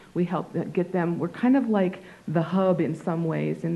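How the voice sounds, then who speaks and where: Fairly low and dark, mellow, this woman's voice carries vocal fry and ordinary pitch variation. She talks at a fairly quick pace with audible room echo. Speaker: nonprofit director presenting to city council. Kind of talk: public presentation. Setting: city council meeting. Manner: halting, stuttering.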